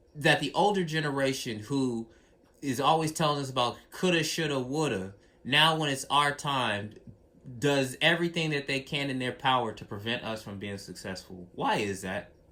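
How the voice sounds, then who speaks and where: His tone is bright and sharp, and his intonation lively. The man speaks at a fairly high pitch. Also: moderate pace. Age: young. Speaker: interviewer. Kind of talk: casual Q&A.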